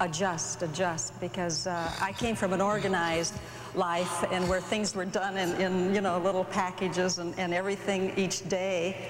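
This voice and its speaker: Her intonation monotone and flat, a woman speaks at a moderate pace, with noticeable background noise and audible room echo. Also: medium pitch for a woman. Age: 50s. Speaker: pastor's wife. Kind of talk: interview.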